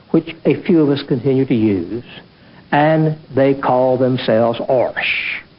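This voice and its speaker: Speaking at a fairly slow pace, a man talks with an Appalachian accent. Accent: soft Appalachian. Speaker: scholar of Appalachian speech. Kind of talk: documentary interview answer.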